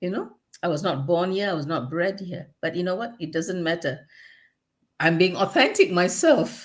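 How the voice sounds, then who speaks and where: In a strong Malaysian accent, a woman speaks at a moderate pace with a fairly low pitch and ordinary pitch variation. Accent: Malaysian, still strong. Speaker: podcast co-host, personal transformation coach. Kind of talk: casual podcast conversation.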